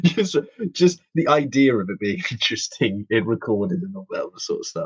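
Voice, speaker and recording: A man talks at a moderate pace, with a dry, close sound and no echo. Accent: London. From East London, Hackney. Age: 20s. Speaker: podcast co-host. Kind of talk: casual chat.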